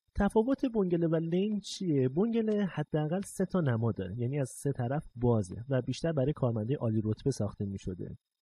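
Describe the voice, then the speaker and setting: Somewhat breathy, the voice moves at a fairly quick pace with very wide pitch swings and hardly any pauses. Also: man, fairly high pitch for a man. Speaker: podcast host and narrator. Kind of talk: scripted narration.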